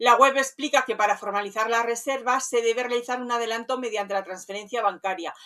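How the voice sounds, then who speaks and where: A woman's bright, sharp voice, fairly high in pitch, at a fairly quick pace. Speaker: community manager specialized in rural lodging, radio host. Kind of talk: professional consulting review of a website, talking to camera.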